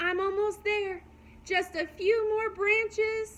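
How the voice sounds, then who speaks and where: Squeaky and put-on, this character voice moves at a fairly slow pace with monotone, flat intonation. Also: woman, extremely high pitch for a woman. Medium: read story.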